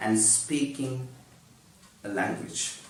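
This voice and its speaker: A man with a non-native accent speaks at a very slow pace. Noticeable background noise and audible room echo surround him. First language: not English. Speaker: YouTuber teaching English. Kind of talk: tutorial.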